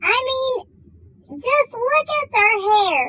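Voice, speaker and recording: This put-on character voice is squeaky. It moves at a fairly slow pace. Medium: comedy sketch. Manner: emotional, dramatic.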